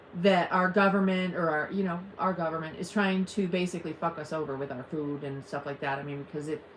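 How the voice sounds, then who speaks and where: Noticeable background noise is audible. A woman talks with ordinary pitch variation. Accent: American. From US Midwest (Ohio). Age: 50s. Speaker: live streamer. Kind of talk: casual chat. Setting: live stream at home. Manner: animated.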